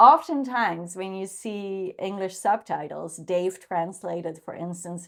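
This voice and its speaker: A woman speaks at a medium pitch with a Dutch accent. Her intonation is lively. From Netherlands. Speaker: vlogger. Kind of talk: casual monologue. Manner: halting.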